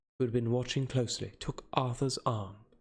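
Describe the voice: What you hear is plain reading aloud.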